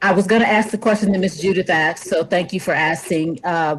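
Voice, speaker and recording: This woman has an ordinary speaking voice, fairly low in pitch, with ordinary pitch variation and a fairly quick pace. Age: 60s. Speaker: myeloma patient. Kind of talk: audience question.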